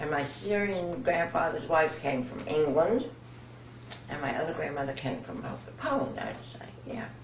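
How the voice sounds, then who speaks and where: With very deep, low pitch and lively intonation, a woman speaks at a moderate pace with big swings in loudness, amid audible room echo and noticeable background noise. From New York City. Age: 80s+. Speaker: oral history interviewee. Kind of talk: interview.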